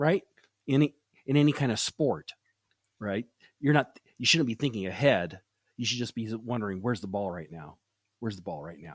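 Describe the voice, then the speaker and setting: A man speaks with an American accent and lively intonation. He leaves long, frequent pauses. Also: medium pitch for a man, big swings in loudness, dry, close sound with no echo. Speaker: podcast host; sales podcast host. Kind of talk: interview. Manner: fast.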